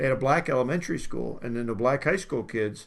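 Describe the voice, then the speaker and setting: Vocal fry marks this man's voice. He talks at a fairly quick pace with an American accent. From Delaware, US. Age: 70s. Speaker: podcast host. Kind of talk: casual discussion. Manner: halting.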